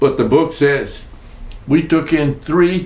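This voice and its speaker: Against audible room echo, a man with an American accent speaks at a very slow pace in a fairly high pitch with ordinary pitch variation. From Texas. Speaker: war veteran. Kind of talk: oral history interview. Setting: at his home.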